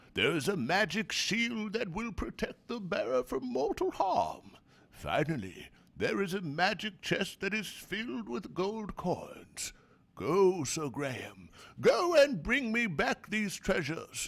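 Putting on a character voice, a man speaks at a fairly slow pace in a high pitch with very wide pitch swings. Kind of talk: dramatic game cutscene reading. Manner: solemn, regal.

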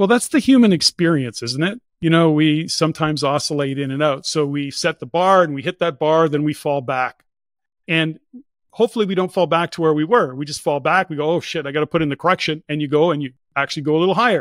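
At a very fast pace, a man speaks with a fairly high pitch and ordinary pitch variation. The sound is dry with no echo, over a quiet background. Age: 60s. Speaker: entrepreneur and real estate investor; podcast guest. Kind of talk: interview. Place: home room. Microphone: studio mic.

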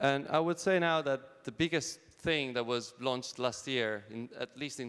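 Moderate pace and ordinary pitch variation over a quiet background. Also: man. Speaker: Android developer, conference speaker. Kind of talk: conference keynote. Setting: stage with audience. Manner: casual, many fillers. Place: hall. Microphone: handheld.

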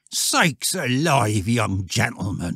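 In a growling, put-on character voice, a man at medium pitch speaks at a fairly slow pace with lively intonation and a dry, close sound with no echo. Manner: startled.

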